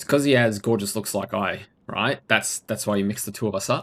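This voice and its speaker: On a very clean recording with a silent background, a man speaks with an Australian accent. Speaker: video game streamer. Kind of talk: live gameplay stream commentary. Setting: live stream.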